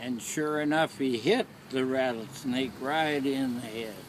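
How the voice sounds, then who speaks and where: A man with an American accent at a very slow pace, medium pitch and ordinary pitch variation. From Oklahoma. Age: 80s+. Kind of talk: personal storytelling.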